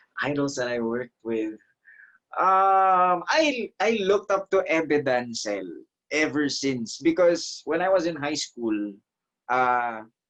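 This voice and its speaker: A man speaks very slowly in an Ilonggo accent, with a fairly high pitch. His pitch swings very widely. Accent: Filipino (Ilonggo) English. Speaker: stage actor and voiceover artist. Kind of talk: interview.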